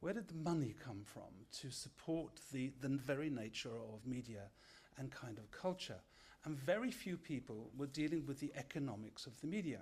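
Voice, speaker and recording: The intonation is lively. The voice sounds somewhat breathy. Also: man, fairly high pitch for a man. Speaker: media scholar, lecturer. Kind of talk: lecture. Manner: fast.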